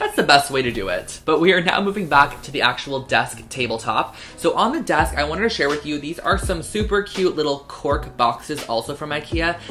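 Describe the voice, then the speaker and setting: Speech comes at a fairly quick pace with hardly any pauses. Music plays in the background. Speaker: lifestyle vlogger. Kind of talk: DIY tutorial vlog. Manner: fast; casual, chatty.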